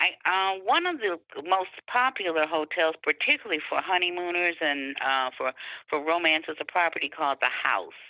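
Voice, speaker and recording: A woman with a normal speaking voice talks in a fairly low pitch. Her pace is moderate and her pitch variation ordinary. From Detroit, Michigan. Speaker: tourism marketing officer. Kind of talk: interview.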